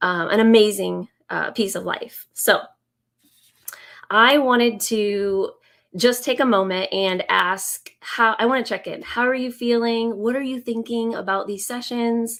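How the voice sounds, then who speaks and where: Her pitch fairly high and her intonation fairly even, a woman talks at a fairly slow pace. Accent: US Midwestern. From Indiana, US Midwest. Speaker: business coach and former teacher. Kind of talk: live stream presentation. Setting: live video stream. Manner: hesitant, many fillers.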